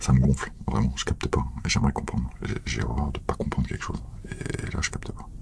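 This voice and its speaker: Whispering at a fairly quick pace, a man is heard against noticeable background noise. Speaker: ASMR creator. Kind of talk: casual talk to camera.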